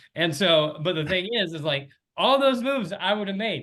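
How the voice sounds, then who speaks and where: Loud and high-pitched, a man speaks with very wide pitch swings. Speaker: fantasy baseball league panelist. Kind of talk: casual chat. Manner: fast.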